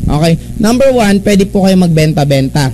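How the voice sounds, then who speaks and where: Against noticeable background noise, a man talks at a fairly quick pace, his high pitch showing ordinary variation. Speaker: network marketing presenter. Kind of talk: business opportunity presentation. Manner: animated.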